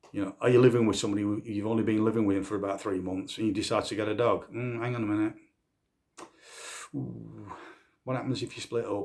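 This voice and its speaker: Speaking at a very fast pace, a man keeps a fairly low pitch and fairly even intonation. He leaves long, frequent pauses. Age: 60s. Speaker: dog handler and vlogger. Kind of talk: casual monologue to camera. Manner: conversational, with repetitions and false starts.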